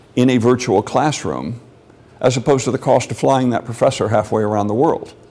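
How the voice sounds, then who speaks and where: A man with an American accent speaks in a medium pitch with vocal fry. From Mexico City. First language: Spanish. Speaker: lecturer. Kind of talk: lecture Q&A. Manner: conversational.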